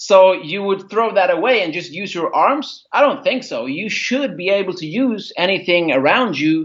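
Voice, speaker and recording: The background is quiet as a man talks at a moderate pace. His voice is high and his intonation lively. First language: not English (English is his third language). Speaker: karate instructor. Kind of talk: podcast interview. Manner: hesitant, with fillers.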